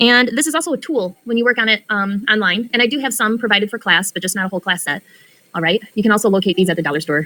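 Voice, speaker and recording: A woman talks at a very fast pace with lively intonation and a bright, sharp tone. The sound is dry and close, with no echo. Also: medium pitch for a woman. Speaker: math teacher. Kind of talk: lecture.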